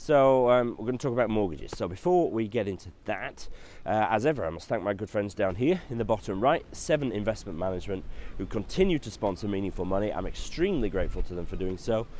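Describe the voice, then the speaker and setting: A man with a Yorkshire accent talks at a very fast pace. His fairly low pitch carries lively intonation. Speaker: financial adviser. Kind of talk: tutorial. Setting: outdoors. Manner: casual, hesitant with fillers.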